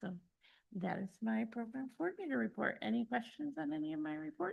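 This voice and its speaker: A woman talks at a fairly quick pace in a medium, somewhat breathy voice. Her pitch swings very widely. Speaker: county program coordinator. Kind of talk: committee meeting report. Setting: public committee meeting. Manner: fast.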